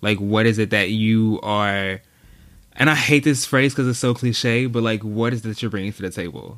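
An American accent comes through in an ordinary speaking voice with ordinary pitch variation. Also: man, medium pitch for a man, moderate pace. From Texas (Dallas). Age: 20s. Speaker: social media strategist. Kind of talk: casual chat.

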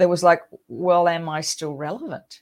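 A fairly low-pitched woman with an Australian accent at a fairly quick pace. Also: very clean recording, silent background. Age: 60s. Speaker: podcast host, midlife coach. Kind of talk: solo monologue podcast. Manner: animated.

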